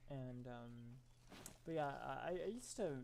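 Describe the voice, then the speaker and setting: A soft-spoken man is heard with audible room echo. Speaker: video game streamer. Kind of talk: gameplay commentary. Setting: apartment, live stream. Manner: halting.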